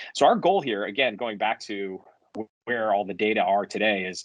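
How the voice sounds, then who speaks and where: The speaker is a man at a medium pitch. He goes at a fairly quick pace with ordinary pitch variation. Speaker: software company founder and CEO. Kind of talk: conference presentation. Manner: hesitant, frequent fillers.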